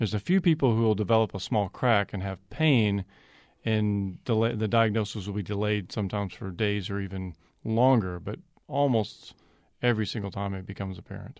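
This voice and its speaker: An ordinary speaking voice moves at a fairly quick pace with ordinary pitch variation against a quiet background. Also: man, fairly low pitch for a man. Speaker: orthopedic surgeon. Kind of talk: radio interview. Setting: studio.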